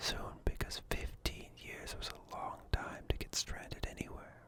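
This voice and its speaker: Over noticeable background noise, a man whispers in a calm tone at a fairly slow pace. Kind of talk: ASMR book reading. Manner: soft-spoken, calm.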